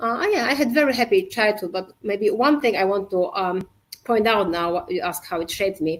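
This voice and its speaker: A woman with a Polish accent speaks at a moderate pace. Her fairly high pitch carries lively intonation. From Poland. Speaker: safety culture consultant and entrepreneur. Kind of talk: podcast interview. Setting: live video podcast. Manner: halting.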